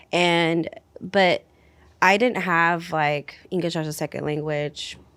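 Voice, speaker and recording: In a very clean recording with a silent background, a woman with a Spanish accent speaks at a very slow pace. Her pitch is fairly low and her intonation fairly even. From US Pacific Northwest (Washington). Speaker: youth program coordinator. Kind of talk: casual discussion.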